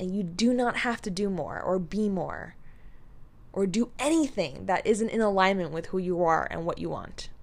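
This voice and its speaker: Her unremarkable speaking voice sits at a medium pitch for a woman, with lively intonation. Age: 20s. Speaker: podcast host and life coach. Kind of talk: casual solo monologue.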